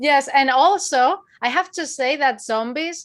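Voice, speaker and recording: High-pitched woman's voice in a Spanish accent, with lively intonation. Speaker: horror channel interviewer. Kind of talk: casual interview chat.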